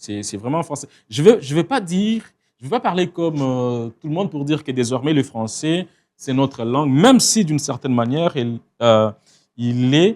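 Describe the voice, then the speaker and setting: A man with a Congolese accent at a moderate pace, on a very clean recording with a silent background. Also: lively intonation. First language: Tshiluba (speaking French). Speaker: writer. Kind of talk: interview. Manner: halting, many hesitations.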